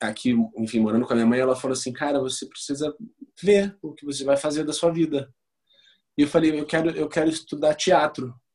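Speaking at a fairly quick pace, a man with an ordinary speaking voice and fairly high pitch shows ordinary pitch variation and big swings in loudness. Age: 30s. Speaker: actor and photographer. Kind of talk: interview.

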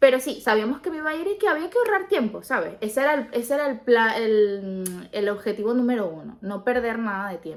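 A fairly high-pitched woman at a fairly quick pace, hardly pausing, her pitch swinging very widely. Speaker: podcast co-host. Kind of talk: casual chat.

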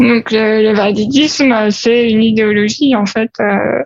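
With fairly even intonation, a woman talks in a fairly high register. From France, Paris. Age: 30s. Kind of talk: interview. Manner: hesitant with fillers.

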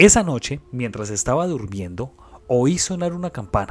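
A man with a Colombian accent talks at a fairly slow pace in a dramatic tone, his pitch swinging very widely. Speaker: podcast host and storyteller. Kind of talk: ghost story telling, creepypasta read aloud in a spooky narrative style. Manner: hushed, eerie and suspenseful, with dramatic pauses.

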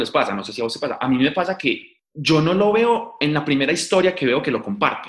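The voice races at a very fast pace with very wide pitch swings. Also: man. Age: 20s. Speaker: science communicator. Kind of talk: interview.

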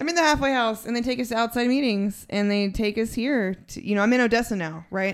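A woman's fairly high voice with an American accent and ordinary pitch variation, at a very fast pace with hardly any pauses. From Texas (San Angelo). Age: 30s. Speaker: recovering addict. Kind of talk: casual chat.

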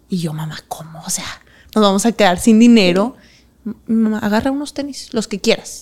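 A woman talks at a moderate pace in a fairly high, somewhat breathy voice. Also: lively intonation, big swings in loudness. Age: 20s. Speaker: professional dancer. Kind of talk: interview.

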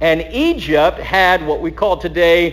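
A very slow man with an American accent, over noticeable background noise. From Texas. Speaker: pastor. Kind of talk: bible teaching sermon.

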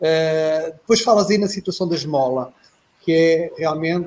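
A man speaks at a moderate pace. His pitch is high, and his tone is dark and mellow. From Portugal. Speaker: retired air force officer, panelist. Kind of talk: casual discussion. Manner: halting.

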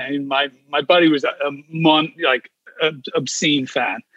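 Here a man speaks with an English accent. His intonation stays fairly even. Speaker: comedian. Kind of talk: casual chat. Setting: video call.

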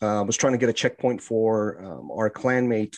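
A man's normal speaking voice, fairly low in pitch, against a quiet background. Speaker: podcast host. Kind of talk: casual podcast chat about a video game.

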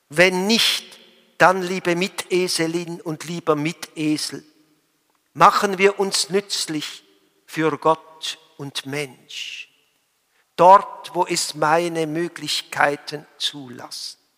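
Very slowly, with long, frequent pauses, a man speaks at a high pitch. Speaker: priest. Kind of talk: sermon. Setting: church. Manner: formal; earnest.

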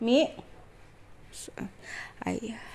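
A woman speaks with an Indonesian accent. Noticeable background noise runs behind her. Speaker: podcaster. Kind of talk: personal monologue. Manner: halting.

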